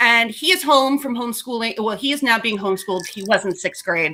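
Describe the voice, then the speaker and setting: Speaking fairly quickly, a woman has a bright, sharp tone and an American accent. Her pitch varies in an ordinary way. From Brooklyn, New York. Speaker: chef and food writer. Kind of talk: casual interview chat. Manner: animated.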